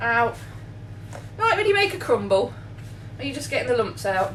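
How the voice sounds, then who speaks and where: Amid noticeable background noise and audible room echo, a woman with an English accent speaks at a moderate pace. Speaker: baker. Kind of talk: tutorial. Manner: animated.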